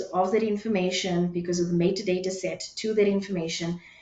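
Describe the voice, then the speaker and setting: Audible room echo and noticeable background noise surround the recording. A woman speaks at a fairly quick pace with fairly even intonation. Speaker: webinar presenter. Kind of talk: lecture. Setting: webinar.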